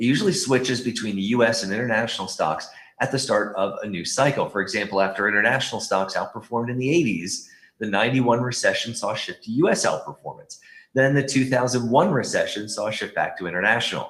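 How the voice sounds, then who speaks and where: Talking at a very fast pace, a man with a medium-pitched voice uses lively intonation. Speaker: investment strategist. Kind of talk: webinar presentation.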